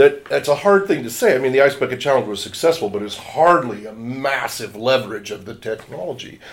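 An ordinary speaking voice from a man with an American accent, medium pitch, lively intonation and a moderate pace. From Washington State, US. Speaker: nonprofit board chair and communications strategist. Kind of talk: interview.

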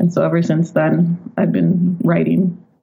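Against noticeable background noise, a woman speaks at a moderate pace with a fairly low pitch. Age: 30s. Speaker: poet and novelist. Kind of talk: interview conversation.

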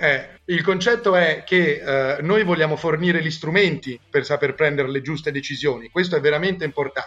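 Hardly pausing, a man talks at a moderate pace in a fairly high pitch with ordinary pitch variation. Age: 20s. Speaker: founder of a student consulting network. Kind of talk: podcast interview. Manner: hesitant with fillers.

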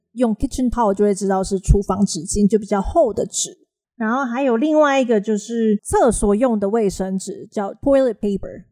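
Her tone is dark and mellow, set at a fairly high pitch with ordinary pitch variation. The woman speaks at a moderate pace. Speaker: English teacher and podcast host. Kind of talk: casual chat.

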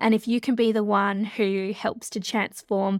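With an Australian accent, a woman speaks at a medium pitch and a moderate pace in a dry, close sound with no echo. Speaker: change leadership consultant. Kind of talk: interview conversation. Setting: video call.

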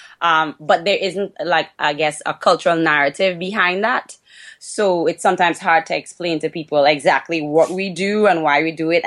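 A woman with a Trinidadian accent speaks at a moderate pace, fairly low in pitch, with fairly even intonation. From Trinidad and Tobago. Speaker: podcast guest, dancer and fitness instructor. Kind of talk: casual conversational.

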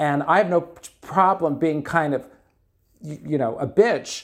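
In a New York accent, the speaker keeps a moderate pace with ordinary pitch variation. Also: man. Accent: New York (Bronx). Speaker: drag performer. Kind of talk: casual interview.

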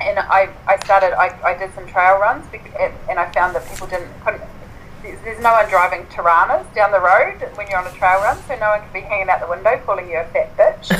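A woman with a New Zealand accent speaks at a fairly quick pace and a medium pitch, her intonation fairly even. Her loudness swings widely, with noticeable background noise throughout. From New Zealand, Southland (Invercargill). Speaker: writer and ultra runner. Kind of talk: interview.

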